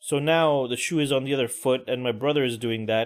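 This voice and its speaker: Speaking at a moderate pace, a man uses a normal speaking voice with medium pitch and ordinary pitch variation. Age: middle-aged. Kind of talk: casual talk to camera. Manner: ranting, conversational.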